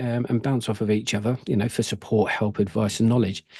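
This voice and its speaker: A man with a dark, mellow tone speaks at medium pitch with fairly even intonation. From UK. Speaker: prepping YouTuber. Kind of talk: casual channel update to camera. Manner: halting, many fillers and restarts.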